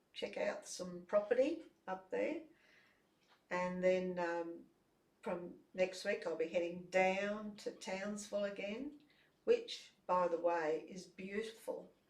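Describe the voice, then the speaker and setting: A woman speaks at a very slow pace in an Australian accent. Her speech has long, frequent pauses. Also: medium pitch for a woman, ordinary pitch variation. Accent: Australian, noticeable. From Brisbane, Australia. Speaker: ukulele jam leader, multi-instrumentalist. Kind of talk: casual interview. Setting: studio.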